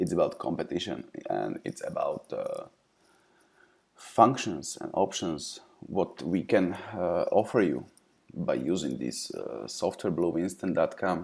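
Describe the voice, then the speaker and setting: A man speaks with a non-native accent. His pace is fairly slow. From Eastern Europe. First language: non-English Eastern European language. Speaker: software company representative. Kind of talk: software tutorial. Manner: hesitant, frequent fillers.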